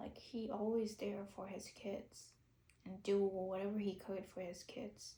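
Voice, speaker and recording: A woman's dark, mellow, somewhat breathy tone at a medium pitch and a fairly slow pace, with audible room echo. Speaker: YouTuber. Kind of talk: unscripted monologue. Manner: halting.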